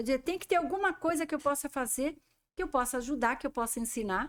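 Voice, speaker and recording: A woman's very wide pitch swings at a fairly quick pace, on a very clean recording with a silent background. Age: 60s. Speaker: professional organizer and show host. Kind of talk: interview chat.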